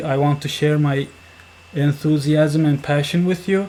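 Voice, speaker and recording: Someone with a non-native accent talks over noticeable background noise. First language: not English. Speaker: software developer, tutorial maker. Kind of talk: tutorial. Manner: slow; halting.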